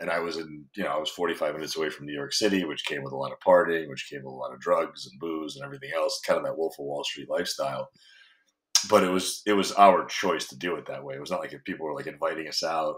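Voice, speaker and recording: Big swings in loudness from a man talking very fast. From foreign country. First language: not English. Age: 30s. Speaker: fitness coach. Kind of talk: podcast interview. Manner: casual, profane.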